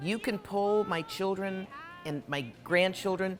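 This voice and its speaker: Music plays behind a woman who speaks with a medium pitch and fairly even intonation. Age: 70s. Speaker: author and great niece of a gangster. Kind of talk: interview.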